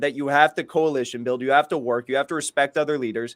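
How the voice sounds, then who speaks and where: In an American accent, a man speaks at a very fast pace with a fairly high pitch. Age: 20s. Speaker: political commentator. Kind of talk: casual chat. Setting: video call.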